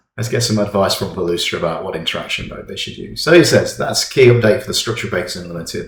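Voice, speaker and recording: In an English accent, a man with fairly low pitch speaks amid audible room echo and noticeable background noise. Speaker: software tutorial presenter. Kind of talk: software tutorial. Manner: casual with fillers.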